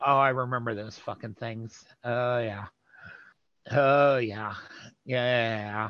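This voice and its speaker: Very slowly, a man with an American accent speaks at a medium pitch in a monotone, flat intonation. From New Jersey. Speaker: interview guest sharing community history. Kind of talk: casual interview.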